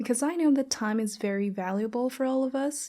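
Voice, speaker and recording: A woman with a Thai accent speaks at a moderate pace with fairly even intonation. Her tone is dark and mellow, on a very clean recording with a silent background. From Thailand. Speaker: podcast host. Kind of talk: casual podcast monologue.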